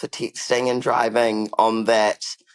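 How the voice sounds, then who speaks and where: A man talks at a fairly slow pace. The sound is dry and close, with no echo. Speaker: podcast co-host. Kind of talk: casual chat.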